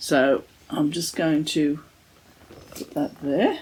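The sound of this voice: A woman's put-on character voice, hoarse, raspy and croaky, very deep and low in pitch, at a very slow pace.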